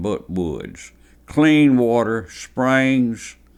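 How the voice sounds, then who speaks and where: Speaking in a Southern US accent, a man uses lively intonation. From Alabama. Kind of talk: oral history interview answer.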